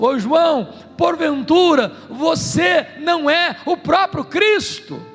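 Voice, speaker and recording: A man uses a put-on character voice at an extremely high pitch and a very slow pace. Music and hissing sit in the background. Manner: insinuating, tempting.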